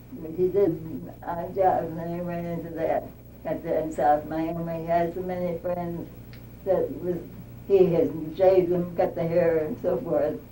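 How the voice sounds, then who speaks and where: A woman speaks at moderate pace in a fairly low, monotone, flat voice with big swings in loudness. Audible room echo and noticeable background noise fill the recording. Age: 90s. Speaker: oral history interviewee. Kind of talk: oral history interview. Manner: halting.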